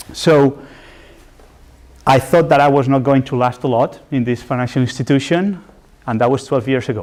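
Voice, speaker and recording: This man speaks with a Spanish accent and ordinary pitch variation. His speech has long, frequent pauses. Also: medium pitch for a man, moderate pace. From Spain. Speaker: development finance specialist, guest lecturer. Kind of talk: lecture.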